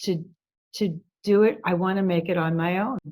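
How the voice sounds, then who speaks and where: A woman's medium-pitched voice holds fairly even intonation. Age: 60s. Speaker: workshop participant. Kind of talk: coaching session. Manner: halting.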